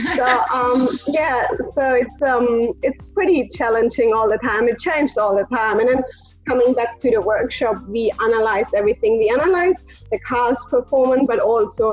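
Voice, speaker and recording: A woman with a German accent speaks at a high pitch, her loudness very even throughout. Noticeable background noise is present. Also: ordinary pitch variation, moderate pace. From Germany. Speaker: race engineer. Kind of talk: interview. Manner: hesitant, many fillers.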